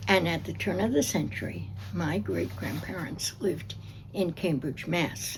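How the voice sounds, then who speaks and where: Speaking with an American accent, a woman uses a very deep, low pitch with very wide pitch swings at a fairly slow pace, and room echo is audible. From New Jersey. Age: 80s+. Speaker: oral history interviewee. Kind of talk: oral history interview. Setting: library.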